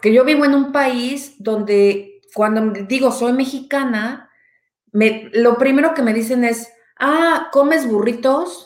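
Pitch varies in an ordinary way across very slow speech. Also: woman. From Mexico. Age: 40s. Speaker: anthropologist. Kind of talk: casual chat.

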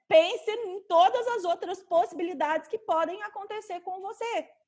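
A woman with lively intonation. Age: 30s. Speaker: lawyer and bioethics specialist. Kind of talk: interview.

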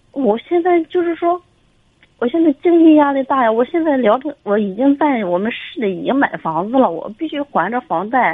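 Her high-pitched voice swings very widely up and down as this woman speaks at a moderate pace. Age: 30s. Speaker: caller, neurologist. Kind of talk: call-in advice. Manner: halting. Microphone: too quiet.

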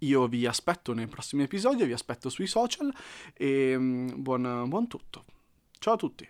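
In a very clean recording with a silent background and a dry, close sound with no echo, a man of medium pitch speaks fairly slowly with lively intonation. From Lombardy, northern Italy. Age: 20s. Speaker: novelist and podcaster. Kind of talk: casual monologue. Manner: hesitant, frequent fillers.

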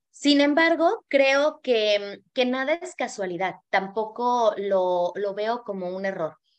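A woman talks very slowly yet with hardly any pauses. Her fairly high voice has lively intonation. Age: 40s. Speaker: image consultant. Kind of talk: casual chat. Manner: animated.

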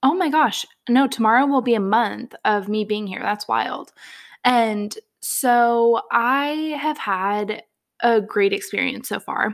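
Very slowly and with an American accent, a woman speaks in a fairly high pitch with ordinary pitch variation, on a very clean recording with a silent background. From Northern California, Bay Area. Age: 20s. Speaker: podcast host. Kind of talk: casual solo monologue. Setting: home kitchen. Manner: casual, filler-heavy.

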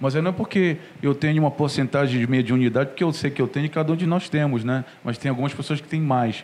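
A man talks in a normal speaking voice at a fairly high pitch. His pace is fairly quick, with ordinary pitch variation. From Pará, northern Brazil. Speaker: saxophonist and firefighter. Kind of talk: interview.

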